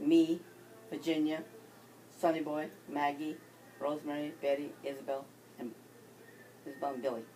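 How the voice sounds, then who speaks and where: Over noticeable background noise, a woman with a very deep, low voice speaks at a moderate pace in a monotone, flat way, with long, frequent pauses. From California, Central Valley. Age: 70s. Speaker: grandparent interviewee. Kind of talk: casual family interview.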